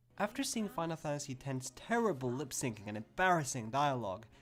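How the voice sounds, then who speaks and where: A man's pitch swings very widely. Noticeable background noise sits behind him. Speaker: game reviewer. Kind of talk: video game review narration. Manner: fast.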